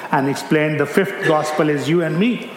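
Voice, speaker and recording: Amid noticeable background noise, a man speaks at a moderate pace with a fairly high pitch. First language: not English; English is his third language. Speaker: missionary preacher. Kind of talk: sermon. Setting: church.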